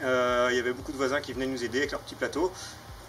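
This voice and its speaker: This is a man speaking at a medium pitch. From France, Mayenne (north-west). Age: 30s. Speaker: farmer. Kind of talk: personal testimony. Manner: hesitant, many fillers.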